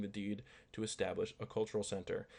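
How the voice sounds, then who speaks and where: A man is speaking. His pitch is fairly low. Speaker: YouTuber. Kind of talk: casual commentary with reading aloud. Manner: halting.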